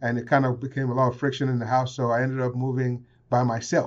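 A man is speaking. His pace is very fast. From Nigeria, then England, then Houston. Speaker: casino executive guest. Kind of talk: casual interview. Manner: warm, friendly, laughs often.

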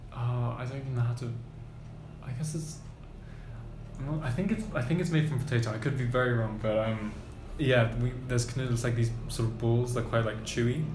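With music in the background and audible room echo, a man speaks at a moderate pace with fairly even intonation and long, frequent pauses. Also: medium pitch for a man. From Germany. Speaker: university student. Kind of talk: casual chat. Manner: halting.

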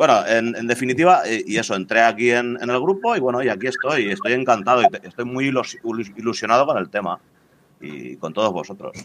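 The speaker uses a plain, everyday voice, moving at a fairly quick pace with lively intonation. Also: man, medium pitch for a man. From Spain, Valencia. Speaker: cryptocurrency enthusiast. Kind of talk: casual chat.

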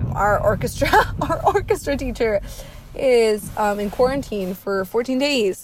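A woman's unremarkable speaking voice, fairly high in pitch, with lively intonation at a fairly slow pace. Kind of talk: casual personal diary. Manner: casual, uses many 'like's.

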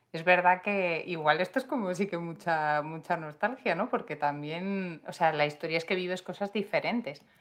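A woman with a plain, everyday voice speaks at a moderate pace in a fairly low pitch with ordinary pitch variation. She barely pauses, against a quiet background. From Madrid, Spain. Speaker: podcast co-host. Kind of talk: casual chat.

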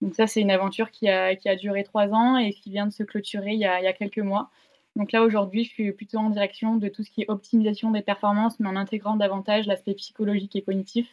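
Speaking at a very fast pace, a woman with a medium-pitched voice keeps her intonation monotone and flat. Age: 20s. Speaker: sports science start-up co-founder. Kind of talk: casual interview.

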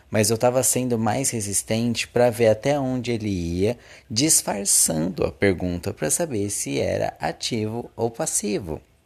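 On a very clean recording with a silent background, a man at a medium pitch speaks at a fairly slow pace with lively intonation and hardly any pauses. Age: 20s. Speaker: podcast host. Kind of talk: casual solo monologue.

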